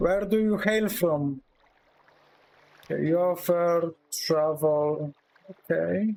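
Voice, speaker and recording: Slow to a great degree, a man with a Polish accent and a high pitch speaks with long, frequent pauses, ordinary pitch variation and very even loudness. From Poland. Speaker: video game streamer. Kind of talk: live gameplay stream commentary. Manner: casual, halting with repetitions.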